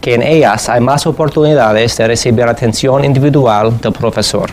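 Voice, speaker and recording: A man with an English accent at a fairly slow pace, medium pitch and ordinary pitch variation, with noticeable background noise. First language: English (speaking Spanish). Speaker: education policy researcher. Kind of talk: lecture. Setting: conference presentation in Madrid.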